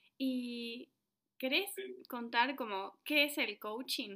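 A woman with a bright, sharp tone speaks at a high pitch with ordinary pitch variation. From Argentina. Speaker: podcast host. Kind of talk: podcast interview.

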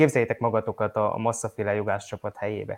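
The speech comes very fast, with a dry, close sound that has no echo and a quiet background. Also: man. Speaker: motorsport podcast co-host. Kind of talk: casual news roundup chat.

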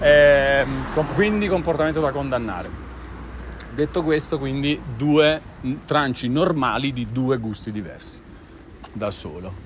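Over noticeable background noise, a man speaks at a fairly slow pace with lively intonation and long, frequent pauses. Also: fairly high pitch for a man. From Milan. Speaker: podcast host. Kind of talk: casual chat. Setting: outdoors.

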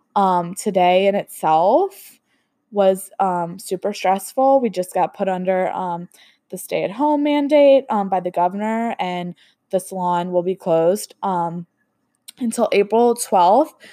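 With a dry, close sound and no echo, a woman speaks at a fairly slow pace in a medium pitch, her tone dark and mellow and her pitch variation ordinary. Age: 20s. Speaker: podcast host and hairstylist salon owner. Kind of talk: casual solo podcast monologue. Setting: at home. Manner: chatty with many fillers.

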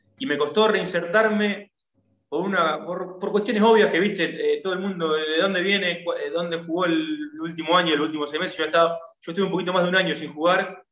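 A man's very fast, high-pitched voice with audible room echo. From Argentina. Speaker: former footballer turned painter. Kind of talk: interview. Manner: halting.

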